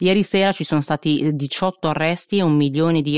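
Recorded very cleanly against a silent background, a woman speaks at a very deep, low pitch. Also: dry, close sound with no echo. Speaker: podcast host and news presenter. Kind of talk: newsreading: brisk, scripted-sounding news briefing delivered in a steady, neutral tone. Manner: fast, concise, matter-of-fact, with occasional filler 'eh' hesitations.

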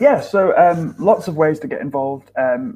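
A man speaks in a Lancashire accent with a dark, mellow tone. His pitch moves in very wide swings. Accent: northern English, Lancashire. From northern England, Lancashire. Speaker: charity filmmaker. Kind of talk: casual interview chat.

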